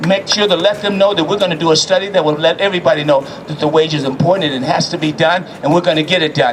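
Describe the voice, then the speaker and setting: Over noticeable background noise, a man with an American accent talks at a very fast pace in a high pitch, his tone animated. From US South. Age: 70s. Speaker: city councilman. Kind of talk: rally speech. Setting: outdoor rally.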